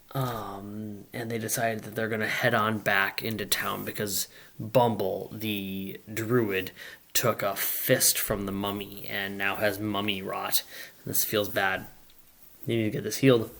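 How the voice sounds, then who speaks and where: A put-on character voice from a man, raspy and fairly low-pitched, with monotone, flat intonation at a fairly slow pace. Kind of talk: campaign recap narration. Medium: solo performance. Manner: conversational, hesitant, frequent fillers.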